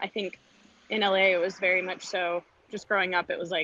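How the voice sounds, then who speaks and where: A woman with an American accent talks at a very fast pace and medium pitch. The sound is dry with no echo, over light background noise. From California, LA beach area. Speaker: voice actress and performer. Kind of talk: casual interview. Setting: remote call while walking dog. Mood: relaxed, cheerful. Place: street. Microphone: video call.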